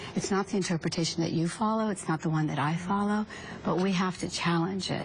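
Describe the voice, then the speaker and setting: Noticeable background noise accompanies a woman whose voice sits fairly low. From US South, South Carolina. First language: Urdu. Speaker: author and activist. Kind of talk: TV panel discussion.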